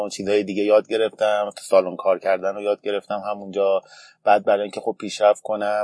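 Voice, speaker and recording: Against a quiet background, a man speaks at a fairly low pitch with a dark, mellow tone and a dry, close sound with no echo. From Iran, Tehran. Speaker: barista. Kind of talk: interview.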